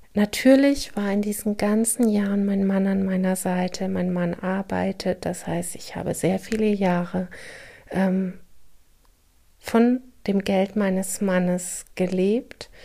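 A woman speaks at a very slow pace in a medium pitch. Her tone is dark and mellow, and her intonation stays fairly even. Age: 40s. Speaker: podcast host sharing her trauma experience. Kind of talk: personal monologue. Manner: hesitant, many filler sounds.

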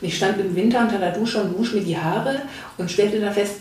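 Amid noticeable background noise and audible room echo, a woman speaks at a medium pitch with ordinary pitch variation. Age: 50s. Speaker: former member of parliament. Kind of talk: interview conversation. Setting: audio-only podcast.

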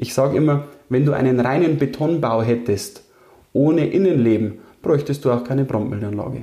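A somewhat breathy man's voice of medium pitch, dark and mellow in tone, with ordinary pitch variation and very even loudness. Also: moderate pace. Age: 30s. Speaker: engineering firm owner. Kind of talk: interview.

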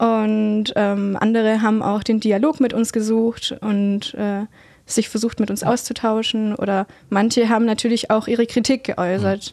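The pitch of this woman's voice is fairly high. Her intonation is monotone and flat. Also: moderate pace. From Heidenheim, Swabia, southern Germany. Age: 20s. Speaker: climate activist. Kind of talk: interview.

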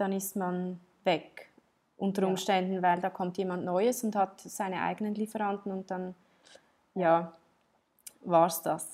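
Speaking at a fairly slow pace with long, frequent pauses, a woman of medium pitch uses monotone, flat intonation. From Switzerland. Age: 30s. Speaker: entrepreneur and textile designer. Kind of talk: interview. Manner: halting, many fillers and restarts.

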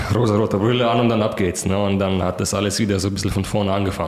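A man speaks at a fairly low pitch with audible room echo. Noticeable background noise is present. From Kazakhstan, in Germany since 2006 (from about age 11). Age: 20s. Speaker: pole vaulter. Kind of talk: interview. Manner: hesitant with many fillers.

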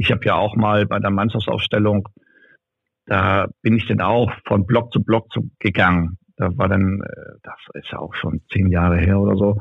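A man's fairly low voice with vocal fry and fairly even intonation. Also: moderate pace. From northern Germany, North Frisia. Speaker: arena announcer and DJ. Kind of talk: casual interview. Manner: loud.

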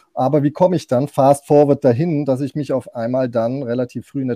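Recorded very cleanly with a silent background and a dry, close sound with no echo, a man speaks in a fairly high pitch with a dark, mellow tone and ordinary pitch variation. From Germany. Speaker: podcast guest who lived in Istanbul. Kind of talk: casual chat. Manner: halting.

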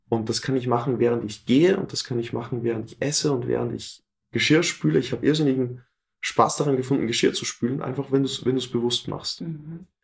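Speaking very fast, a man's somewhat breathy voice sits at a medium pitch. His pitch varies in an ordinary way. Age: 20s. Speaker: fitness trainer and coach. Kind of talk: interview.

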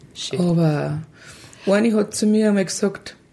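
A woman speaks at a fairly slow pace against noticeable background noise. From Lower Bavaria, Germany. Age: 40s. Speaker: mother of a child with a genetic syndrome. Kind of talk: casual interview. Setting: kitchen.

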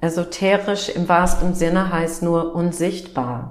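With an English accent, a woman speaks at a very slow pace in a fairly low pitch. Her intonation is fairly even, and audible room echo surrounds her. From US Midwest. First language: English (speaking German). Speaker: naturopath and energy coach. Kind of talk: interview. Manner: halting.

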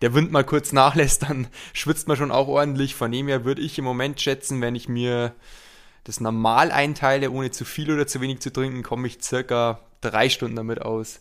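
A man's medium-pitched, monotone delivery with flat intonation at a moderate pace, on a very clean recording with a silent background. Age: 20s. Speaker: triathlete. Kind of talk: casual chat. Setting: training camp.

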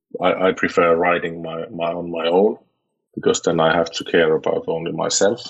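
At a moderate pace, a man speaks in a Finnish accent. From Finland. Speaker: motorcycle club president. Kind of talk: interview. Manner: halting, with many repeated words.

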